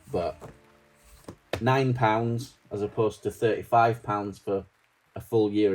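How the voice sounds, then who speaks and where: Speaking fairly slowly in a Yorkshire accent, a man has a fairly low, dark, mellow voice with fairly even intonation. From Yorkshire, northern England. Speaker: stationery vlogger. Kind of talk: casual video vlog, product walkthrough. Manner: casual, hesitant with many ums.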